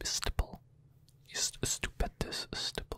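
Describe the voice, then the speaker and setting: The voice is a man's whisper. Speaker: ASMR creator. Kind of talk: close-up whispered ASMR trigger words. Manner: whispered, close to the microphone. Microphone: studio mic.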